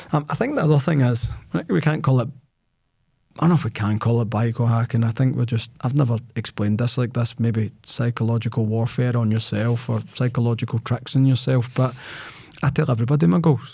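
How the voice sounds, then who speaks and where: A man's medium-pitched voice in a dark, mellow tone, with a Scottish accent at a fairly quick pace, on a very clean recording with a silent background. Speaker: sales podcast host. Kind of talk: casual chat. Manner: loud; animated.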